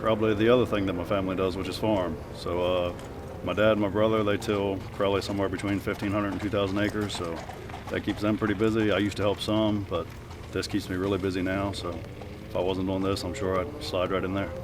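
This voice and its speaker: Soft-spoken and fairly low, a man talks very fast in a flat monotone. Noticeable background noise and audible room echo surround him. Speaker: harness racing driver and trainer. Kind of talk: interview Q&A.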